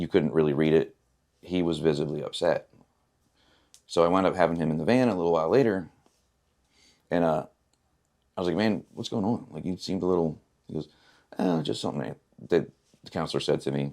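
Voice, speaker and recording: A quiet man's very deep, low voice with a dark, mellow tone, very fast pace, ordinary pitch variation and long, frequent pauses. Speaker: person in addiction recovery. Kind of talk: personal testimony interview.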